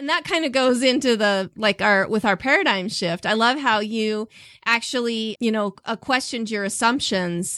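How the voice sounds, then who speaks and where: Recorded very cleanly with a silent background and a dry, close sound with no echo, a woman with an American accent speaks in a plain, everyday voice at a moderate pace with ordinary pitch variation. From US, southeast Idaho. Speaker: podcast host. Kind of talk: interview.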